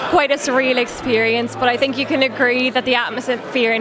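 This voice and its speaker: A woman with a Donegal accent speaks at a very fast pace in a high, monotone, flat voice amid noticeable background noise. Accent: Donegal Irish. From Ireland (Donegal). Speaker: outgoing pageant titleholder. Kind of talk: interview.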